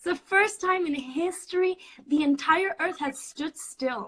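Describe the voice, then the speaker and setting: A woman projects a raised voice in a bright, sharp tone with a Spanish accent. Her pace is fairly slow. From Puerto Rico. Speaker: student. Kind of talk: casual chat.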